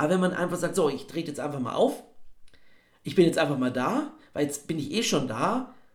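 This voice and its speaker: A man's high voice with very wide pitch swings, a fairly quick pace and long, frequent pauses, in audible room echo. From Bavaria, Regensburg. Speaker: actor and voice actor. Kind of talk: interview conversation. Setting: video call.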